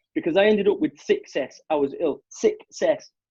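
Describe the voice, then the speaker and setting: A man with a Mancunian accent, animated in tone, at a moderate pace. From Salford, Manchester, northern England. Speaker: motivational business speaker. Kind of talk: podcast interview. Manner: animated, emphatic.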